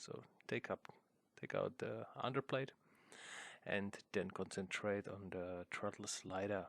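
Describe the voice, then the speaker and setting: A man with a non-native accent and a fairly low pitch speaks at a fairly slow pace with ordinary pitch variation, in a dry, close sound with no echo. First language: not English. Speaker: hobbyist video maker. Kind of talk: tutorial. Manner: halting, many fillers.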